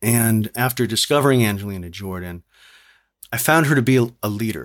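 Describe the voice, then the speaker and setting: Speaking with an American accent, a man uses a medium pitch and lively intonation at a moderate pace, in a very clean recording with a silent background. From New York City. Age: 50s. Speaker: podcast guest, music fan and singer. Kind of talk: casual chat.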